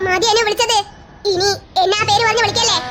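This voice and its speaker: A cartoonish character voice at an extremely high pitch and a fairly quick pace, over light background noise. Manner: menacing.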